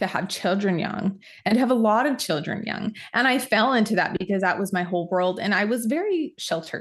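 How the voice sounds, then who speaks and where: With an American accent and a plain, everyday voice, the speaker moves at a moderate pace with ordinary pitch variation over a quiet background. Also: woman. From Utah. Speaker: hormone nutritionist. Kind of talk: casual chat.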